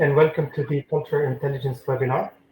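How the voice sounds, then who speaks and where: A somewhat breathy man at a fairly high pitch. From Lebanon. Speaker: webinar host and professor. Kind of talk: webinar presentation. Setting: online webinar.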